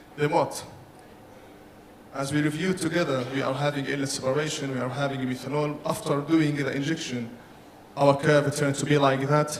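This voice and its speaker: A man talks at a fairly quick pace with monotone, flat intonation and long, frequent pauses, with audible room echo around him. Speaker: engineering conference presenter. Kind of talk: technical presentation. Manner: fast; halting, self-correcting.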